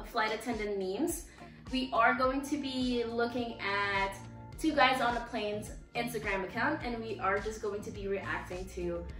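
The speech moves at a fairly slow pace with audible room echo. Clear music plays in the background. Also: woman. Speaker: channel host. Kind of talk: casual vlog chat. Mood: cheerful, laughing. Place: home room. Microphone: camera far.

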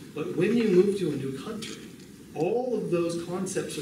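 Man with a Californian accent and ordinary pitch variation, audible room echo and noticeable background noise around him. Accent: General American (Californian). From US, California. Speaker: bible college missions instructor. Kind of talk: lecture. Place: classroom. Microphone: podium.

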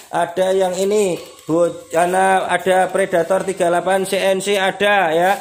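At a very slow pace, a man speaks in a high pitch with very even loudness. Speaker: airgun shop seller. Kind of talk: pitchman sales patter rattling off slashed promo prices. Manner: excitable, gleeful repetitive cheering like hore re re re. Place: shop. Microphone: phone near.

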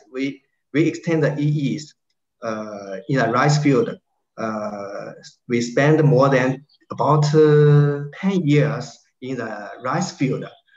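In a quiet background with audible room echo, a man speaks very slowly at a fairly high pitch with ordinary pitch variation. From China. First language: Chinese. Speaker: researcher. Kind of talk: Q&A session. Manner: halting. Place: home room. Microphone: webcam.

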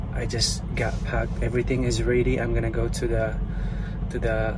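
Loud background noise fills the recording. Over it, a man talks. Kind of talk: casual vlog chat. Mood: calm, slightly pained. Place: car. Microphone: earbuds.

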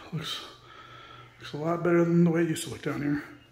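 The speech moves at a very fast pace. Audible room echo surrounds it. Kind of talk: casual vlog chat. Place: home room. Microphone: phone near.

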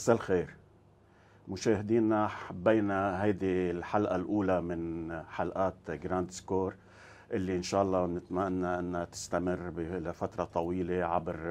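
A man's very deep, low voice, monotone and flat, at a fairly slow pace. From Lebanon. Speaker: sports show host. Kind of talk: interview. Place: studio. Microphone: lapel.

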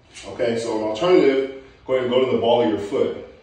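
Strong room echo fills the recording. A man speaks at a moderate pace. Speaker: strength coach. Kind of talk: tutorial feedback. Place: garage. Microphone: camera far.

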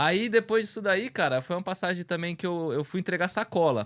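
A man with a high voice talks at a very fast pace. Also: quiet background. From Brazil, Carapicuíba, São Paulo. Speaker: small business owner, bag manufacturer. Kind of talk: casual interview. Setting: studio livestream. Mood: relaxed, reflective. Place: studio. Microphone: studio mic.

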